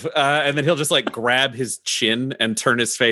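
Ordinary pitch variation in a plain reading aloud.

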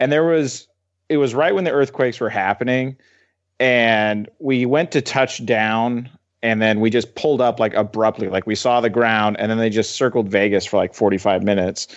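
A man talks in a normal speaking voice, at a moderate pace and medium pitch, with ordinary pitch variation. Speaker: sports editor and writer. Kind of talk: casual chat. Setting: video call.

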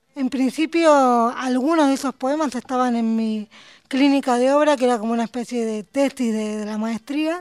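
In a dry, close sound with no echo, the speech goes rather slowly, its pitch moving in an ordinary way. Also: woman. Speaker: poet. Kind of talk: interview.

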